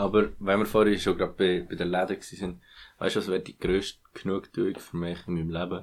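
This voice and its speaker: A very deep, low male voice in a monotone with flat intonation, on a very clean recording with a silent background. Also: fairly quick pace. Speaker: podcast co-host. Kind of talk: casual chat. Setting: home recording.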